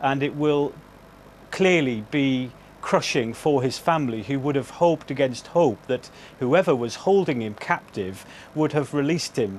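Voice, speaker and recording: A man speaks in a normal speaking voice at a moderate pace. His pitch variation is ordinary. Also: fairly high pitch for a man. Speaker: news correspondent. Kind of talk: live TV news report.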